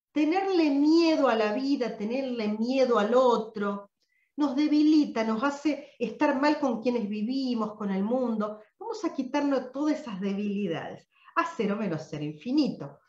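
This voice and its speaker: Audible room echo accompanies speech at a fairly slow pace over a quiet background. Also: woman, high pitch for a woman. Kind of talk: live online session talk. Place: home room. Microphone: webcam.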